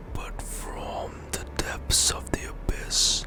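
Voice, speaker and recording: Someone whispers at a very slow pace with noticeable background noise behind them. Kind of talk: ASMR whispered reading of game lore. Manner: whispered, soft-spoken.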